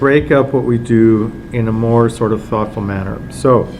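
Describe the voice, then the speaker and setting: Fairly slow male speech amid noticeable background noise and audible echo from the room. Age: 60s. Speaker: film festival director. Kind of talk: casual talk to press. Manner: hesitant, many fillers.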